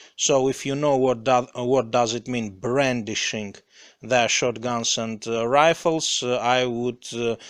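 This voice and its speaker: Over a quiet background, a man with a non-native accent speaks at a very slow pace in a medium pitch. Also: fairly even intonation. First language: not English. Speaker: English learner reading aloud. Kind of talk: reading aloud; casual chat. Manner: halting, many fillers.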